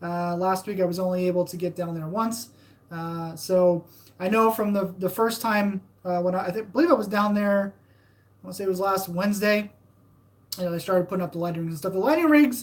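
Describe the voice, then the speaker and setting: A woman talks at a fairly quick pace. Her medium-pitched voice shows ordinary pitch variation. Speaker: theme park fan channel host. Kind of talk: live stream chat. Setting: live stream. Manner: hesitant, many fillers.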